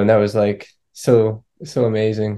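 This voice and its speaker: Dark, mellow male voice at fairly low pitch, with an American accent. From Florida, US. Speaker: touring band musician. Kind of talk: casual interview.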